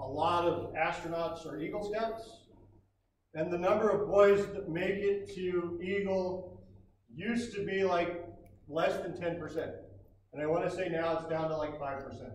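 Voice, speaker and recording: A loud, high-pitched man's voice with ordinary pitch variation and audible room echo. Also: moderate pace. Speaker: scoutmaster. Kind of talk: ceremony speech. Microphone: speaking without microphone.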